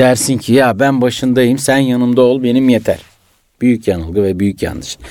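The man has an ordinary speaking voice. His speed is moderate and his pitch sits in the middle range. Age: 40s. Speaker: entrepreneur, businessman. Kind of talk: radio interview. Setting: radio studio.

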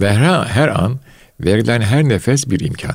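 A man's medium-pitched voice at a moderate pace, with very wide pitch swings and vocal fry. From Istanbul, Turkey (Fatih). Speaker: retired scholar. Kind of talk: casual chat.

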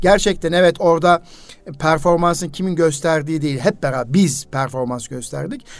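This is a plain, everyday voice from a man, pitched fairly high. He moves at a moderate pace with ordinary pitch variation. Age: 50s. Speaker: radio host and educator. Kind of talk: casual radio interview.

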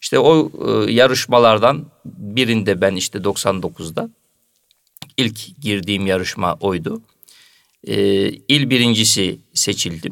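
A man with a fairly low pitch speaks at a very slow pace, with long, frequent pauses. His intonation is lively. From Turkey, Karamürsel (Kocaeli). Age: 40s. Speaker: mosque muezzin. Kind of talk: radio interview. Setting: studio.

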